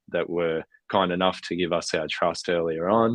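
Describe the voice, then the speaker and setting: With an Australian accent, a man talks in a very deep, low voice. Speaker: founder of an NFT collective for extreme athletes. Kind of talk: podcast interview. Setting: live stream with cameras off. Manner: many fillers and false starts.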